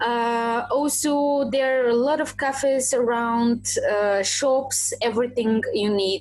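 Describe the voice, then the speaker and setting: A woman with a Bulgarian accent speaks at a high pitch with ordinary pitch variation. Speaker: tour guide. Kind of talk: podcast interview answer. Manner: passionate, positive.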